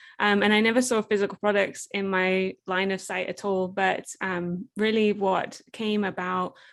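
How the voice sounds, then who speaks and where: A woman with an English accent speaks at a moderate pace against a quiet background. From England. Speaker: entrepreneur, product creator. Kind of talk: interview conversation.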